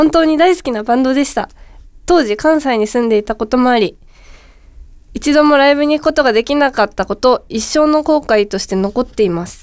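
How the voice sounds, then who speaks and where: Animated in tone, the voice moves at a fairly quick pace with lively intonation. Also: woman, high pitch for a woman. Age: 30s. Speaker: podcast co-host. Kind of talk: casual chat. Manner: animated, laughing often.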